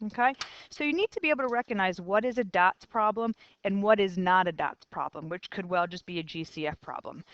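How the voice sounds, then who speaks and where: A woman's unremarkable speaking voice, medium in pitch with ordinary variation, at a fairly quick pace, with a dry, close sound and no echo. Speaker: math teacher. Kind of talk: lecture.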